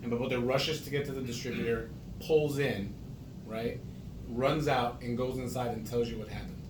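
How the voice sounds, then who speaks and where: In an American accent, a man speaks fairly quickly at medium pitch with monotone, flat intonation, amid audible room echo and noticeable background noise. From New York. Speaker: family interviewer, son or daughter. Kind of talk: casual interview.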